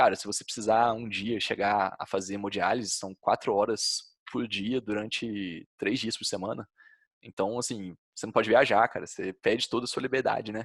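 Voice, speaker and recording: Fairly quick, monotone, flat delivery in a Brazilian accent, with a dry, close sound, no echo and a quiet background. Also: man. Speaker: health podcast co-host. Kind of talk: casual podcast conversation.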